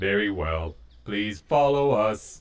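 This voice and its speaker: A man speaks in a put-on character voice pitched fairly low. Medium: audio drama. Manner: flat, officious, automated.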